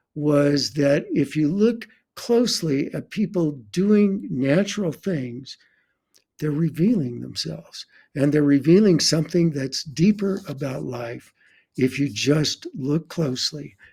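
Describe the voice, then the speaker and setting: Lively in intonation yet dark and mellow in tone, a man's somewhat breathy, fairly high voice moves at a fairly slow pace. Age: 80s+. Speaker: photographer. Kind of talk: interview conversation. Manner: halting, many repetitions.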